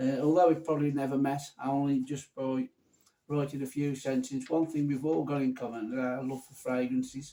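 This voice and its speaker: A man's fairly quick, fairly high, dark and mellow voice, flat in intonation but with big swings in loudness. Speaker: fragrance reviewer. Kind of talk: casual vlog chat. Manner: casual, unpolished one-take delivery; halting, with fillers and restarts.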